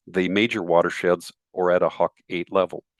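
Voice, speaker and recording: Against a quiet background, a man is heard in a dry, close sound with no echo. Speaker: forestry program presenter. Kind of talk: webinar presentation. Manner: fast.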